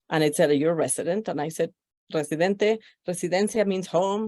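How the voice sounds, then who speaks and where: A woman speaks with a Spanish accent at a medium pitch. Her pace is fairly quick. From Mexico, Mexico City. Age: 50s. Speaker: podcast guest. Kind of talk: life story interview.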